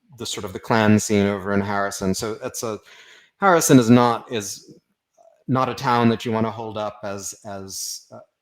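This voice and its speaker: Loudness swings widely while the speaker, with an American accent, keeps a moderate pace and ordinary pitch variation. The recording is very clean, with a silent background. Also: man, fairly low pitch for a man. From Austin, Texas. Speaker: writer. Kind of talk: interview. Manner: halting.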